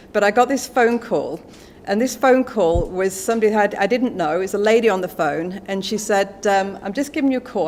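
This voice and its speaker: In an English accent, a woman talks at a fairly quick pace. Her pitch is medium, with ordinary pitch variation. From England. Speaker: business executive. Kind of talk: speech at a book launch. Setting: stage with audience. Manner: animated.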